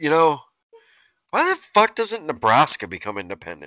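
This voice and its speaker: With a quiet background and a dry, close sound with no echo, a man speaks at a moderate pace in a fairly high, bright, sharp voice with vocal fry. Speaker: podcast co-host. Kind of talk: casual banter, comedic rants. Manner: profane, jokey.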